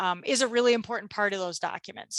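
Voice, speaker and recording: A woman speaks at a fairly high pitch in a bright, sharp tone. The sound is dry and close with no echo, set against a quiet background. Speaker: legal presenter on health care directives. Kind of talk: webinar presentation. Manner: fast.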